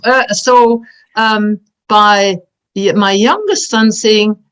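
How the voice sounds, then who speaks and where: A woman's fairly high voice with a Flemish accent, dry and close with no echo. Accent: Belgian Dutch-speaker. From Belgium. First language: Dutch. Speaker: community nonprofit board member. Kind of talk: panel discussion.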